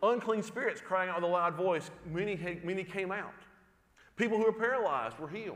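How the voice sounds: Natural voice, reading aloud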